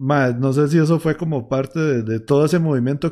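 Delivered at a moderate pace with a Costa Rican accent, the dark, mellow voice sits on a very clean recording with a silent background. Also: man. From Costa Rica, Heredia. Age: 20s. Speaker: podcast host, musician. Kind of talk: casual interview chat. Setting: live stream, home.

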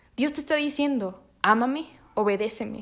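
A woman's high-pitched, animated voice with lively intonation at a fairly slow pace, on a very clean recording with a silent background. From northern Mexico, Monterrey. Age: 20s. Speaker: podcast host. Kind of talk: casual faith monologue.

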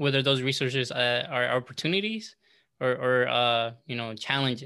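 A man speaks with an American accent at medium pitch and a moderate pace, with ordinary pitch variation. His tone is bright and sharp, and the background is quiet. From Southern California. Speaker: community leader and youth tech educator. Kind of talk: casual interview conversation.

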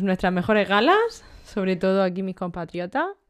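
A woman speaks at a medium pitch. The recording is very clean and the background silent. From Almería, Spain. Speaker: podcast co-host. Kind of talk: casual chat.

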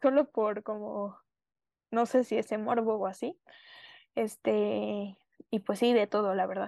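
Recorded dry and close with no echo over a quiet background, a woman speaks at a fairly high pitch with ordinary pitch variation. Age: 20s. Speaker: student, accident survivor. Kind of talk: interview testimony. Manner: halting, many fillers.

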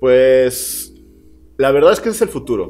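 A man talks with a Mexican accent at a medium pitch and moderate pace. Noticeable background noise can be heard. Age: 20s. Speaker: musician. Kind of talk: casual chat. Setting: home.

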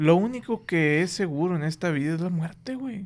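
The speaker has a Mexican accent. The intonation is lively. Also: man. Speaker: podcast host. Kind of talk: casual chat. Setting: studio.

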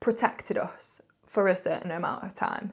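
With a northern English accent, a woman talks at a moderate pace in a medium pitch, her intonation fairly even. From northern England. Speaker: podcast host. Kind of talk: casual monologue.

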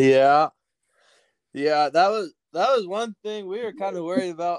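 In a dry, close recording with no echo, a man talks at a moderate pace with lively intonation. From Salem, Oregon, US West Coast. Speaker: ranch hand. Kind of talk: casual chat.

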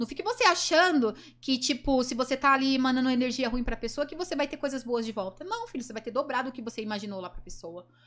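Over noticeable background noise, a woman speaks very fast in a high pitch with lively intonation. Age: 20s. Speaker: adult film actress and influencer. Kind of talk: casual chat.

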